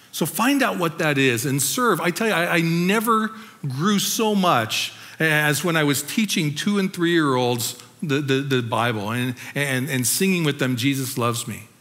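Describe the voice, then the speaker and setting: A man with an American accent, fairly high pitch and very wide pitch swings, at a moderate pace, over noticeable background noise. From Southern California, La Habra. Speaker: pastor. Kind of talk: testimony.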